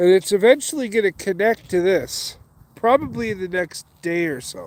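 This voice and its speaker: The man's voice is high in pitch and swings very widely, with big jumps in loudness. He keeps a moderate pace, and the sound is dry and close with no echo. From western Canada (Calgary, Alberta). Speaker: outdoor vlogger. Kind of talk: casual live stream. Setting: outdoors by a creek.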